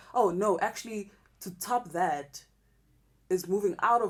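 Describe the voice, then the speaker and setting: Medium pitch carries this voice. The speaker is a woman. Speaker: rapper. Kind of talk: interview. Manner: loud.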